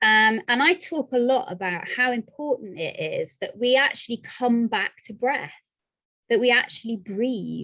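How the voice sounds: Her voice is fairly high and bright, sharp in tone, as this woman speaks at a fairly slow pace with lively intonation.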